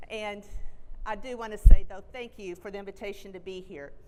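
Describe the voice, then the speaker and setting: A woman varies her pitch in an ordinary way as she talks moderately. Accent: American. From Texas. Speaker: college president. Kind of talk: keynote speech. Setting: stage with audience.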